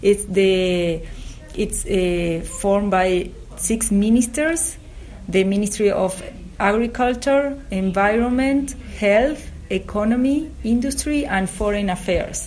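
A woman speaks in a Spanish accent at a very slow pace, with long, frequent pauses and a medium pitch. Noticeable background noise is present. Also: ordinary pitch variation. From Uruguay. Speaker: government biosafety regulator. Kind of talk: interview. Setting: office at agriculture ministry. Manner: halting.

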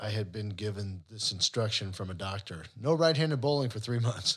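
Somewhat breathy, a man speaks at a moderate pace. The recording is very clean, with a silent background. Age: 60s. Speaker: financial advisor and podcast co-host. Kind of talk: casual chat. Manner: animated.

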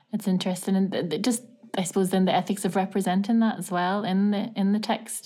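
A woman rushes along at a very fast pace in a flat monotone, medium in pitch, somewhat breathy, with a dark, mellow tone. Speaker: university lecturer. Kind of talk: interview conversation. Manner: hesitant, many fillers.

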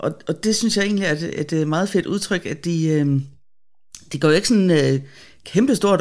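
The pace of this woman's speech is moderate. Her voice sits fairly low in pitch. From Denmark, Bornholm. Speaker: theologian and web editor. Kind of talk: casual Bible discussion. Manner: hesitant, many fillers.

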